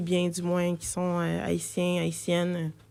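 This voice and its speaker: Very slowly, a woman speaks in a fairly low monotone with flat intonation, recorded very cleanly against a silent background. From Quebec, Saint-Hubert (Longueuil). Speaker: multidisciplinary artist. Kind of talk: radio interview. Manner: halting, many hesitations and repetitions.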